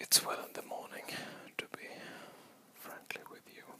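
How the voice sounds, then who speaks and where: A man whispers in a relaxed tone. Noticeable background noise sits behind him. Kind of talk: ASMR whispered ramble to camera. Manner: whispered, rambling, relaxed.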